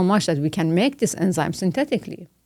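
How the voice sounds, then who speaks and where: Very fast, lively speech from a woman with a Persian accent and a fairly low pitch, on a very clean recording with a silent background. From Iran. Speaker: biomedical scientist and professor. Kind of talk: interview conversation. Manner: hesitant, many fillers.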